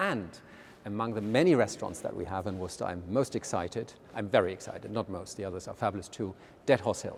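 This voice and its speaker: A man talking at a very fast pace in a German accent, fairly low in pitch, with ordinary pitch variation. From Germany. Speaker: art museum director. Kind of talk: casual interview. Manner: hesitant, with many fillers.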